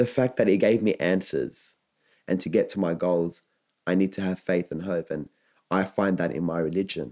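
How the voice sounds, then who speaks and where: This man has a very deep, low pitch and a dark, mellow tone, with ordinary pitch variation at a moderate pace. The recording is very clean against a silent background. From Lebanon. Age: young. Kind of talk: interview answer. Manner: in-your-face.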